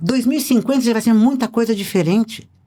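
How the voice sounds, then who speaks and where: Talking very fast, a woman has a fairly high pitch and a dark, mellow tone. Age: 70s. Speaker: speaker and writer on human behavior. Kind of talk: podcast interview.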